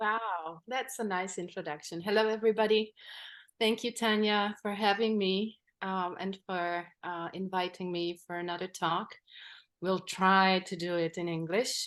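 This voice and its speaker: A woman's medium-pitched voice with a non-native accent, fairly slow and fairly even in intonation, against a quiet background. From Czech Republic, Polish minority in Silesia. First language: Polish. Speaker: nature retreat guide. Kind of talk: interview.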